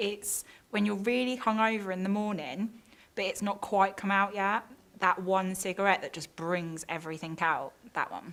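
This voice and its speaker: In a British accent, the words are delivered at a moderate pace. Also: woman. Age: 20s. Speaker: interviewee. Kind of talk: interview.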